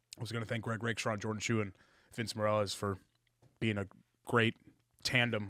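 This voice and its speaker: A man's put-on, raspy character voice at a medium pitch, fairly quick pace, monotone, flat intonation and long, frequent pauses. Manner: very fast, slurred together.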